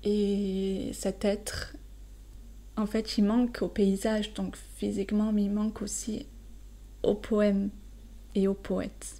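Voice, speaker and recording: A woman's calm, relaxed delivery, very slow, with long, frequent pauses. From southern France. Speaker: French teacher. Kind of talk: poetry explanation for learners. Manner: halting with fillers.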